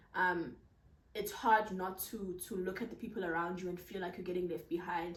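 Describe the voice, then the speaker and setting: A woman at medium pitch, monotone and flat in intonation, moderate in pace, with audible room echo. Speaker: content creator. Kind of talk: casual Q&A vlog. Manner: projecting voice loudly.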